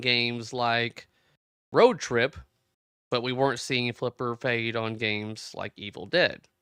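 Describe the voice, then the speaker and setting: The man's voice sits at a medium pitch. He speaks at a very slow pace. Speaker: pinball livestream host. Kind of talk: live stream chat reading viewer comments. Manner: casual, halting with repetitions; loud.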